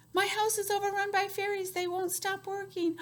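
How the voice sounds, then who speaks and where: Putting on a squeaky character voice, a woman speaks at a moderate pace in an extremely high pitch with monotone, flat intonation. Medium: read story. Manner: grumbling, complaining.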